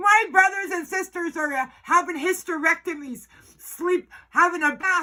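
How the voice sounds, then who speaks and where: Projecting her voice at an extremely high pitch, a woman speaks at a fairly slow pace with a bright, sharp, animated tone and ordinary pitch variation. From Northwest Territories, Canada. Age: 50s. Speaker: First Nations elder. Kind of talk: political speech. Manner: forceful, animated.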